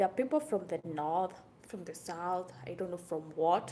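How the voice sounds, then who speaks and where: Ordinary pitch variation runs through a woman's dark, mellow tone. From Kenya. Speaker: vlogger. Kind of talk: casual vlog talk to camera. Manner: animated.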